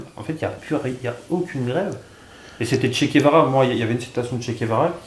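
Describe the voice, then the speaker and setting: Amid noticeable background noise and audible room echo, a man talks very fast at medium pitch with ordinary pitch variation. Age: 30s. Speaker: youtuber interviewer. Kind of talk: casual interview.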